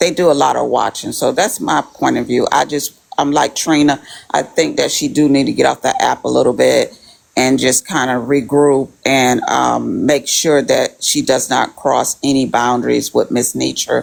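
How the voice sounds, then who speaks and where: Over noticeable background noise, a woman speaks at a moderate pace with very even loudness. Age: 60s. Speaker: participant in online mock court. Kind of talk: casual opinion in group live stream.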